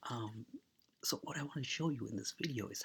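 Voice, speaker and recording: A somewhat breathy man's voice at a moderate pace, with lively intonation. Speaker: tech tutorial creator. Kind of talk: tutorial. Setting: at someone else's house. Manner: soft-spoken; casual.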